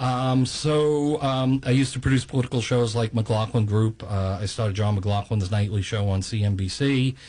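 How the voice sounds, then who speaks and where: Somewhat breathy and dark, mellow in tone, the speaker has a New York accent and talks at a moderate pace with hardly any pauses and ordinary pitch variation. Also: man, medium pitch for a man. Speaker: video and documentary producer. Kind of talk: radio interview.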